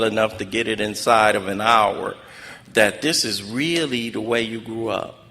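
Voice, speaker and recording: Background noise is noticeable. A man speaks with an American accent. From South Central Los Angeles (Watts). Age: 60s. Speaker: recovery speaker. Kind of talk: testimony.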